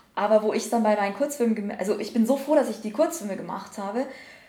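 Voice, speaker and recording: Noticeable background noise sits behind a woman's voice. She talks at a very fast pace and a fairly high pitch, with ordinary pitch variation. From Bavaria, Upper Palatinate (Schwandorf). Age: 20s. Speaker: screenwriter. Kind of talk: casual interview. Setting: on location after jury session.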